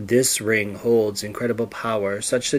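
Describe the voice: Plain reading aloud, its intonation fairly even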